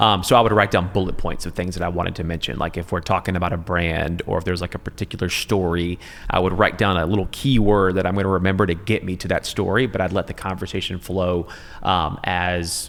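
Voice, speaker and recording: Speaking at a very fast pace, a man with an American accent and a very deep, low pitch keeps his intonation fairly even. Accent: Southern accent, largely trained out. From US South, Middle Georgia. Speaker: TV news anchor. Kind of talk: casual chat. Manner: clear enunciation.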